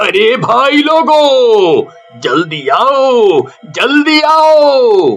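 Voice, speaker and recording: Someone performs a put-on character voice while faint music plays in the background. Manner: shouting, scared.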